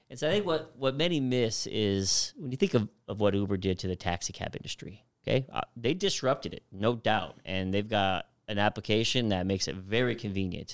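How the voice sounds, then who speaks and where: On a very clean recording with a silent background, a man with a normal speaking voice talks fairly quickly at a fairly low pitch, with lively intonation and hardly any pauses. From US Southwest, Phoenix, Arizona. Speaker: trucking company executive. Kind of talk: interview.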